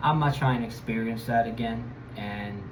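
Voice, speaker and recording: A man with an American accent talks at medium pitch. The recording has audible room echo and noticeable background noise. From Connecticut, US (Bridgeport). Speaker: travel vlogger. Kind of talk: casual monologue. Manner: hesitant, many fillers.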